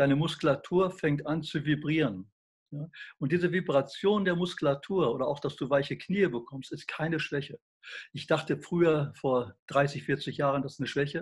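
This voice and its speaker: Somewhat breathy speech with ordinary pitch variation. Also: man, fairly high pitch for a man, moderate pace, very clean recording, silent background. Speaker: health researcher. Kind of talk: interview. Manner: animated.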